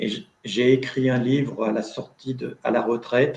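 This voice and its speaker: A man speaks at a medium pitch. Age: 60s. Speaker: retired factory worker and author. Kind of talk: panel discussion in a video conference. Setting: video conference.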